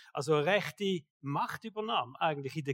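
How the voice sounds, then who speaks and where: A man speaks with a Swiss accent and lively intonation at a moderate pace. The sound is dry and close, with no echo. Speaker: pastor. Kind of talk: sermon. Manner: casual.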